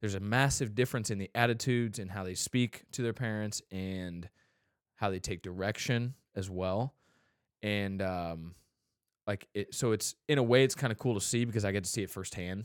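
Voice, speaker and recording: A man with an unremarkable speaking voice, fairly low in pitch, talks at a moderate pace with ordinary pitch variation. The very clean recording sounds dry and close, with no echo and a silent background. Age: 20s. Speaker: podcast host. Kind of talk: casual podcast chat.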